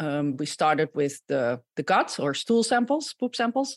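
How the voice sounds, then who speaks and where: A woman speaks with a Dutch accent, her pitch swinging very widely. The recording is very clean with a silent background, and the sound is dry and close with no echo. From Netherlands (Gouda). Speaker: microbiologist and image fraud consultant. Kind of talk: podcast interview.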